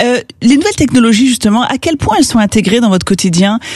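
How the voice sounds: At a fast pace, a woman speaks with a slightly mellow tone, lively intonation and a fairly high pitch.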